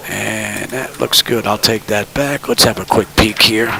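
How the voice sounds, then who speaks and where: A man with an American accent speaks at a moderate pace, his fairly low voice held in fairly even intonation. Noticeable background noise is present. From New York City (Brooklyn). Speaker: flight sim streamer. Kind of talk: live stream commentary with checklist callouts. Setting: home cockpit simulator, live stream. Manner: casual, conversational.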